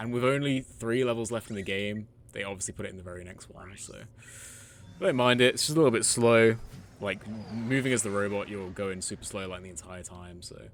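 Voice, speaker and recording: This man has a fairly low pitch and ordinary pitch variation. He talks at a fairly quick pace, with big swings in loudness. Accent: British. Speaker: gaming streamer. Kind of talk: live gameplay commentary. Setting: live stream at home. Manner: casual, chatty.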